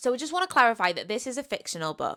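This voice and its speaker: In a Welsh accent, a woman speaks on a very clean recording with a silent background. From Wales. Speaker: book youtuber. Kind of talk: casual book review talk. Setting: seated at home recording with microphone. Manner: animated.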